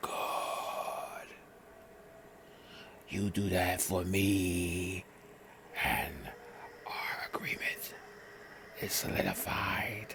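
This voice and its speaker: Putting on a character voice, a man growls very slowly at a very deep, low pitch. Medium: read story. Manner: menacing.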